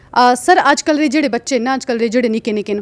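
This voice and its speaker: With ordinary pitch variation, a woman speaks in a high voice, recorded dry and close with no echo. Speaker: interviewer. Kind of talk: interview question.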